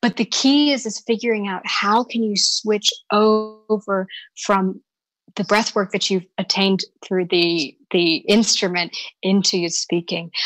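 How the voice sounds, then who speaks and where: With music in the background, a woman speaks very slowly at medium pitch with ordinary pitch variation, in a dry, close sound with no echo. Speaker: voice and dialect coach. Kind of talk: interview answer.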